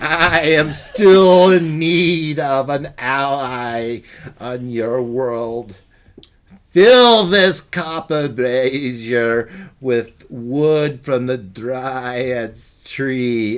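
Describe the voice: Using a put-on character voice, a man speaks at a medium pitch. His pace is very slow.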